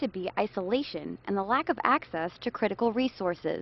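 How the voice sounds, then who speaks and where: A woman with a fairly high pitch talks at a fairly quick pace. It is an ordinary speaking voice. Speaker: TV news reporter. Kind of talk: TV news reporter voiceover.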